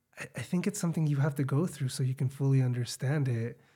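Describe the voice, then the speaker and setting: The voice has a dark, mellow tone, is somewhat breathy, and carries an American accent with ordinary pitch variation. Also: man. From Chicago, US. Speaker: podcast host, teacher. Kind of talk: casual chat.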